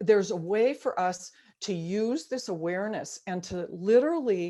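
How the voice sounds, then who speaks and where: A woman speaks at a fairly slow pace with lively intonation. Her tone is dark and mellow. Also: quiet background. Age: 70s. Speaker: spiritual teacher. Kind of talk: workshop talk leading into guided meditation. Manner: conversational, informal.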